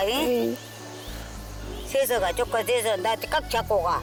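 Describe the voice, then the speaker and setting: A woman speaks at a very slow pace with ordinary pitch variation as music plays in the background. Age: 80s+. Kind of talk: casual conversation.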